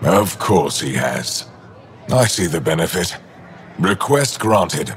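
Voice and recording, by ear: In a put-on character voice, a man speaks slowly at a low pitch with big pitch swings, over faint background noise.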